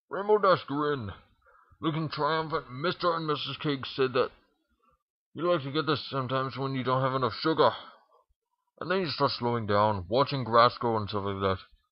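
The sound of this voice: A man talks at a moderate pace in a medium pitch. His pitch varies in an ordinary way.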